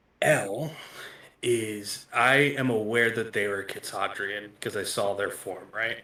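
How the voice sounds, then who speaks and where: A man uses a raspy, put-on character voice at a medium pitch. He goes at a fairly slow pace. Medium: actual play. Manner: blunt, matter-of-fact.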